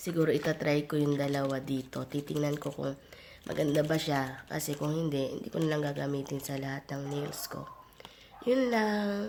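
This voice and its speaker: A woman speaks at a moderate pace in a very deep, low pitch, with ordinary pitch variation over noticeable background noise. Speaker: vlogger. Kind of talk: casual vlog talk.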